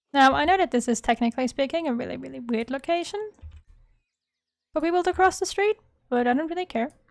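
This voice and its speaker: The speaker has a non-native accent and talks at a very fast pace, with lively intonation but long, frequent pauses. The sound is dry and close, with no echo. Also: woman, high pitch for a woman. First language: not English. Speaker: gaming YouTuber. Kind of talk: casual gameplay commentary. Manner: casual, thinking aloud.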